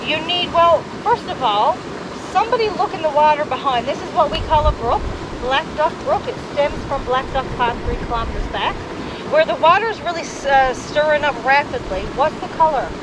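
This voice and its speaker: Over noticeable background noise, a woman with a strong Newfoundland accent speaks in a high voice with lively intonation. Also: moderate pace. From Newfoundland (northern peninsula). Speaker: heritage site tour guide. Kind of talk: guided tour talk. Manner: animated.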